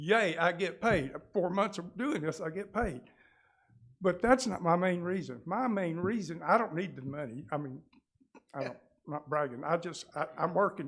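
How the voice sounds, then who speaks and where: A man with a high-pitched voice and a Southern US accent. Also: moderate pace. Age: 70s. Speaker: real estate agent. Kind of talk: public comment. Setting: city council meeting. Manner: halting.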